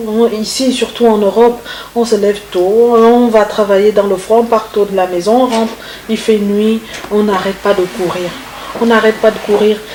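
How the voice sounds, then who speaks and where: A woman with a Congolese accent speaks in a fairly high pitch at a fairly slow pace. Her intonation is fairly even, and there is noticeable background noise. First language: Congolese language (speaking French). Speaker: singer. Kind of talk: interview. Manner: halting.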